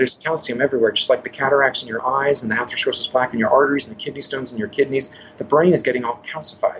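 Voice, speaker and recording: A man with a Californian accent at a very fast pace, with fairly even intonation. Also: medium pitch for a man. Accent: Californian American. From northern California. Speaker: health coach. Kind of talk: interview.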